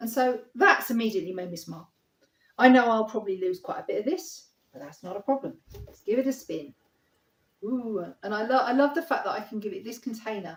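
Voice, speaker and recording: Music plays behind a woman with a London accent and a fairly high pitch. She talks at a fairly quick pace, her pitch swinging very widely. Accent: southern English (London). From southeast London, England. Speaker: acrylic paint artist. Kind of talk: painting tutorial. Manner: casual, chatty with fillers.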